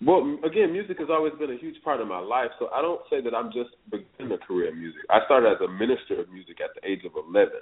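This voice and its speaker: At a very fast pace with hardly any pauses, a man's speech shows big swings in loudness. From northeast Florida (Palatka, near Jacksonville). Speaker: R&B singer. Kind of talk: casual interview.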